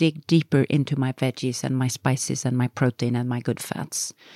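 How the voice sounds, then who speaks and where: Speaking fairly quickly in a Swedish accent, a woman with a very deep, low pitch and a dark, mellow tone keeps a monotone, flat intonation in a dry, close sound with no echo. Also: very clean recording, silent background. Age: 60s. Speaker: health author. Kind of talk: casual chat.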